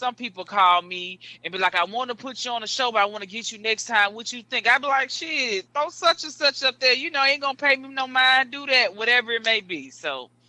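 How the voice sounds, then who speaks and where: An extremely high-pitched, raised, projected male voice, bright and sharp, with lively intonation at a fairly quick pace, dry and close with no echo. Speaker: comedian. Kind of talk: casual chat.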